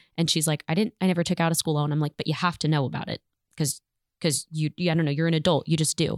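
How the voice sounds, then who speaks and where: A woman with an American accent talks at a very fast pace in a very deep, low pitch and a monotone, flat intonation, in a dry, close sound with no echo. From California (Bakersfield). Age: 20s. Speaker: nursing student, daughter of the hosts. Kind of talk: casual chat. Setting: studio.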